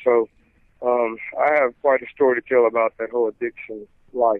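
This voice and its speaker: A man speaks with a slight Southern US accent at a medium pitch. His intonation stays fairly even. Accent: Southern US twang, slight. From Mississippi. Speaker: gospel singer and pastor. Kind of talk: interview testimony. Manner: halting, many fillers.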